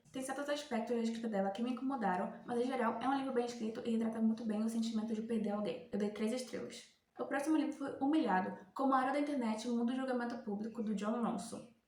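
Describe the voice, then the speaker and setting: A woman speaks very fast in a high voice with fairly even intonation, over noticeable background noise. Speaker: book reviewer. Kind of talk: casual talk to camera. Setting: headset microphone.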